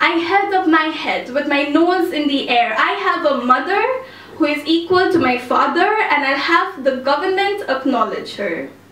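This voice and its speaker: A woman speaks at a high pitch with lively intonation and a moderate pace. Noticeable background noise is present. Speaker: spoken word poet. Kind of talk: live spoken word poetry performance. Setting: cafe, live audience.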